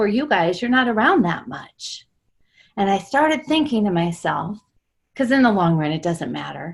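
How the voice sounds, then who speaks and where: A somewhat breathy woman talks at a moderate pace with lively intonation on a very clean recording with a silent background. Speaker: coach. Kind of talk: group coaching call discussion. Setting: group call. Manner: talking quietly.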